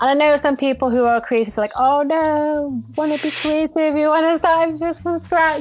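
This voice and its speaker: At a moderate pace and very even loudness, a woman with a high, animated voice speaks with hardly any pauses. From Manchester, England. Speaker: UX designer. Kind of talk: casual interview. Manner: animated, laughs often.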